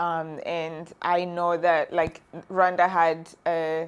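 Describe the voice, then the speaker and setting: A woman speaks at a fairly low pitch. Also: very clean recording, silent background. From Rwanda. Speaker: prosthetics and orthotics graduate student. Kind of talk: interview answer.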